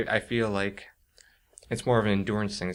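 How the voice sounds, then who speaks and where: A soft-spoken man talks with fairly even intonation. The recording is very clean, with a silent background. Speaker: author and creative writing teacher. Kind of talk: interview answer.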